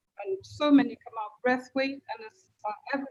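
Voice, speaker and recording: In a dry, close sound with no echo, a woman with a dark, mellow tone speaks at a moderate pace with ordinary pitch variation. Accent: Kenyan. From Kenya. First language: Kikuyu. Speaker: professor. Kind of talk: academic webinar talk. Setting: video call.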